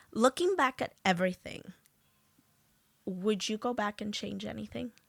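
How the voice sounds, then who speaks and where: Heard in a dry, close sound with no echo, a woman with a New York accent speaks at a moderate pace with big swings in loudness. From Peru, raised in South Jamaica, Queens. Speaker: podcast host. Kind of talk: casual interview chat.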